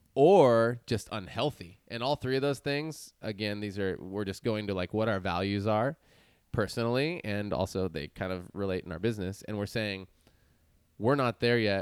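Here is a man with a plain, everyday voice and a fairly low pitch. He keeps a moderate pace with ordinary pitch variation. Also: very clean recording, silent background. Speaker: podcast co-host. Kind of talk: casual chat. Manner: casual, upbeat.

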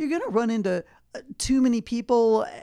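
This woman speaks in a normal speaking voice with a fairly high pitch. Her intonation is lively. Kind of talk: radio co-host chatter, short quips and agreeable replies.

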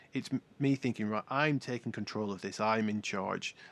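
In a very clean recording with a silent background and a dry, close sound with no echo, a man with a normal speaking voice talks at a fairly quick pace, medium in pitch, with ordinary pitch variation. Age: 40s. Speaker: podcast co-host, paraplegic surfer. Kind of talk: casual chat.

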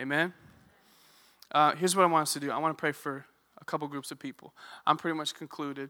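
A man talks at a very fast pace in a bright, sharp tone, with big swings in loudness and long, frequent pauses. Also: fairly high pitch for a man. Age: 20s. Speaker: youth pastor. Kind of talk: sermon. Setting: church stage with congregation. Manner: animated.

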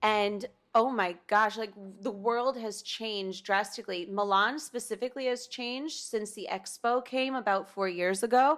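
A plain, everyday voice with an American accent comes through at a moderate pace with ordinary pitch variation, on a very clean recording with a silent background. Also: woman, fairly high pitch for a woman. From US Northeast, New Haven, Connecticut. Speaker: actress. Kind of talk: casual interview chat.

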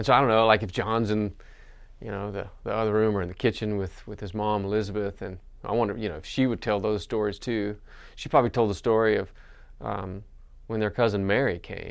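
Against a quiet background, a man with an American accent and an unremarkable speaking voice talks at a fairly quick pace, with fairly low pitch and fairly even intonation. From Western North Carolina mountains. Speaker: pastor. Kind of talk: sermon. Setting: recorded for online worship.

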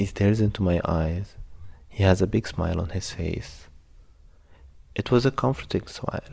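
With a dark, mellow, somewhat breathy tone, a man speaks at a moderate pace in a fairly low pitch. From Egypt. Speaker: refugee storyteller. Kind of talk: personal story narration.

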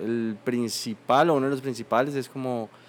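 Speaking at a fairly slow pace, a man with a normal speaking voice holds a medium pitch and fairly even intonation. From Colombia, Bucaramanga. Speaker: painter. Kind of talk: interview conversation.

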